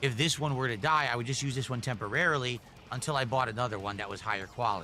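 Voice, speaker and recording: There is audible room echo as a man of medium pitch speaks at a very fast pace. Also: ordinary pitch variation. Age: 40s. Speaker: streamer. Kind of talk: casual live stream chat.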